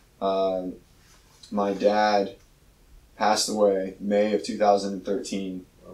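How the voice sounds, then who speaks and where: A man's fairly low, monotone, flat voice at a very slow pace, with long, frequent pauses and audible room echo. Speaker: physical therapist; podcast co-host. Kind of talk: casual chat. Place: gym.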